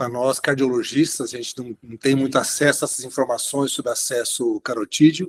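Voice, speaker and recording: At a fairly quick pace with hardly any pauses, a man with a normal speaking voice talks at a medium pitch and fairly even intonation. The sound is dry and close with no echo, and his loudness swings widely. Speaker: interventional cardiologist, moderator. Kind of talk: webinar Q&A discussion.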